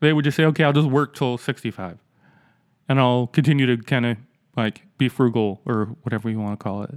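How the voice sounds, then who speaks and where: At a fairly quick pace, a man talks in a medium pitch with ordinary pitch variation, on a very clean recording with a silent background and a dry, close sound with no echo. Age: 40s. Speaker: podcast host with progressive vision loss. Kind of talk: casual chat. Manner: halting.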